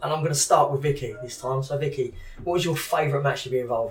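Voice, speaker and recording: Very fast speech comes through with noticeable background noise. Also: man. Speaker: podcast co-host. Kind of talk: casual interview chat. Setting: gym venue. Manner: joking, animated.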